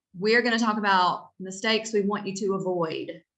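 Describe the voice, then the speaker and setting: A woman with a North Carolina accent speaks at a medium pitch. Her tone is bright and sharp, and audible room echo surrounds her voice. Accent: Southern (Stanly County). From North Carolina, Albemarle (Stanly County). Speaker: real estate agent. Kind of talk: webinar presentation. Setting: video call webinar. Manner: animated.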